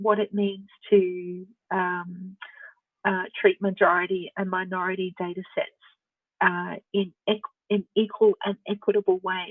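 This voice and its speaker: A woman speaks with an Australian accent. Her pace is fairly slow. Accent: Australian, elongated vowels. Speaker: researcher and speaker on open source voice technology. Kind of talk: Q&A after a presentation.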